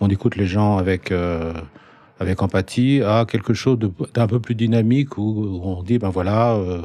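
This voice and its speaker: A man with an unremarkable speaking voice, fairly low in pitch, with fairly even intonation. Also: moderate pace. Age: 60s. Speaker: psychiatrist. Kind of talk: casual interview.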